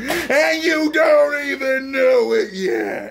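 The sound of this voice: A man talks at a very slow pace with an extremely high pitch, big pitch swings and vocal fry. His tone is fairly bright.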